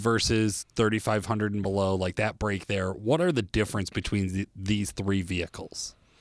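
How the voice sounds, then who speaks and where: A man with a fairly low pitch and a normal speaking voice talks at a moderate pace in a very clean recording with a silent background. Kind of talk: infomercial-style sponsor read, scripted product pitch. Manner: brisk, polished salesman delivery, upbeat and spec-heavy; urgent call-to-action close.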